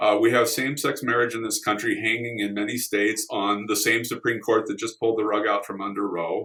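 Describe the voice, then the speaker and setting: A man with an ordinary speaking voice talks at a fairly quick pace with medium pitch, fairly even intonation and hardly any pauses. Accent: General American. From California. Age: 60s. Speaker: congressional candidate. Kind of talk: interview.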